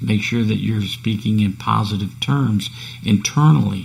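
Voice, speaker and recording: A man's fairly low voice with ordinary pitch variation at a moderate pace, over noticeable background noise. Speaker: podcast host. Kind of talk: solo podcast talk on self-improvement. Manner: casual, conversational.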